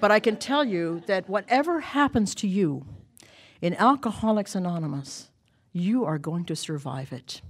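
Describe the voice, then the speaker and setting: Over a very clean recording with a silent background, a woman speaks at a medium pitch. She keeps a moderate pace with very wide pitch swings. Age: 70s. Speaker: recovery speaker. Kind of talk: testimony. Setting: stage with audience. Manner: animated.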